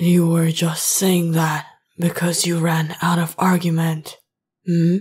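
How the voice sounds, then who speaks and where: A put-on character voice from a woman, fairly low in pitch and fairly slow, with monotone, flat intonation and very even loudness. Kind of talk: ASMR roleplay. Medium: solo performance. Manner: teasing, confident.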